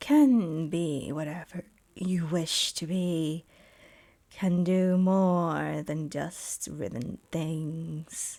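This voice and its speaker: A woman's put-on character voice, fairly low and very slow, on a very clean recording with a silent background. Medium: actual play. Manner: cryptic, understated.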